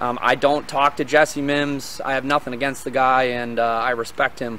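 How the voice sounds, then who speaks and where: A man at a moderate pace, fairly even intonation, light background noise. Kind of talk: casual vlog commentary. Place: open country. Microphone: phone near.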